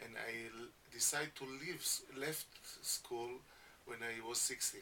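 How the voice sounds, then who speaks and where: Over noticeable background noise, a man speaks at a fairly slow pace in a medium pitch with fairly even intonation. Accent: non-native. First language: Hebrew. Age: 50s. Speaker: education founder. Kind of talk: radio interview. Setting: radio studio. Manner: halting.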